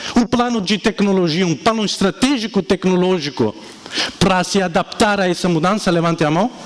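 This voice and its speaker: An animated man's high voice with an Italian accent, moderate pace, ordinary pitch variation, very even loudness, and noticeable background noise. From Italy. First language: Italian (speaking Portuguese). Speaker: entrepreneur and speaker. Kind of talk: keynote talk. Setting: stage with audience.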